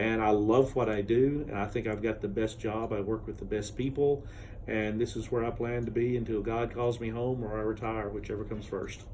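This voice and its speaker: With an American accent, a man at a medium pitch speaks at a fairly quick pace in a dark, mellow tone with monotone, flat intonation, and audible room echo surrounds his voice. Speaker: university admissions advisor. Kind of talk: interview. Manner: loud.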